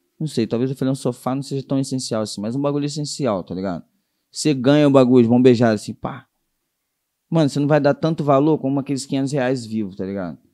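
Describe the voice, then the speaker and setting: Talking at a very fast pace, a man with a dark, mellow tone holds a medium pitch with ordinary pitch variation. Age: 20s. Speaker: rapper. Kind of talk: casual chat.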